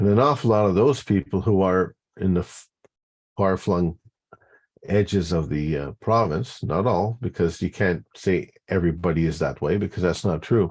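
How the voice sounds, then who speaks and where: Against a quiet background, a man talks at a moderate pace in a very deep, low voice with ordinary pitch variation. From Quebec. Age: 60s. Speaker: community advocate. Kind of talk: interview. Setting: video call. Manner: halting, many fillers and restarts.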